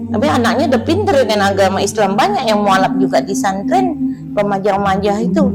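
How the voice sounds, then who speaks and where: With music in the background and audible room echo, a woman of medium pitch talks at a very fast pace with hardly any pauses. Her intonation is lively while her loudness stays very even. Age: 60s. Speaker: Islamic preacher for converts. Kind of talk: testimony interview.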